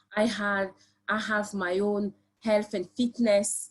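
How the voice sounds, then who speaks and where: Somewhat breathy, a woman at a medium pitch speaks with a French accent. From France. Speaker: construction professional and PhD student. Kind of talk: presentation on a live webinar. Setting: live online stream. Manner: hesitant, many fillers.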